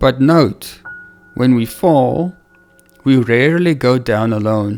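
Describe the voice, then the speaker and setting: A man's medium-pitched voice with ordinary pitch variation and music playing in the background. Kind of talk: religious teaching talk.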